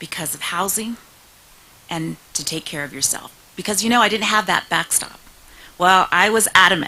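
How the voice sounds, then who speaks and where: Over noticeable background noise, a woman with a medium-pitched voice speaks at a moderate pace with ordinary pitch variation, big swings in loudness, and long, frequent pauses. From California, US, partly raised in Mexico. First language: Spanish. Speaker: state senator. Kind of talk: speech. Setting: stage with audience.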